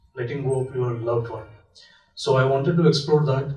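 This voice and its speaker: A man with a Marathi accent talks at a moderate pace in a fairly high, somewhat breathy voice. His intonation is fairly even, and the room echo is audible. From India, Maharashtra. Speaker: film director. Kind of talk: festival Q&A talk. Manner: halting, many fillers.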